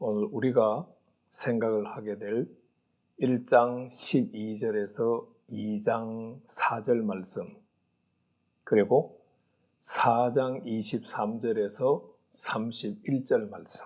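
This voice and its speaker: Speaking very slowly with long, frequent pauses, a man keeps his intonation fairly even. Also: medium pitch for a man. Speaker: pastor teaching Bible. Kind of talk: Bible lecture. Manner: measured, with frequent 'uh' fillers.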